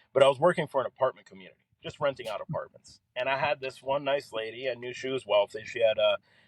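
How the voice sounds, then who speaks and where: A man speaks at a very fast pace in an American accent, with hardly any pauses. His loudness swings widely, and the sound is dry and close with no echo. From Miami, Florida (Kendall). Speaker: entrepreneur and former ad salesman. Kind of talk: podcast interview, personal story. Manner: casual, filler-heavy.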